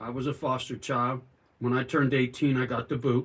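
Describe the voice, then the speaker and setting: The voice is an ordinary speaking voice with an American accent. It moves at a moderate pace. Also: man. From California. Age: 60s. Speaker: livestreamer, retired sheet metal worker. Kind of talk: casual livestream chat reading comments. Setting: outdoors in yard.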